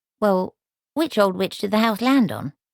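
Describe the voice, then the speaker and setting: A put-on character voice that sounds female, at medium pitch for a woman. It moves at a moderate pace. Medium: read story. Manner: hesitant, bashful.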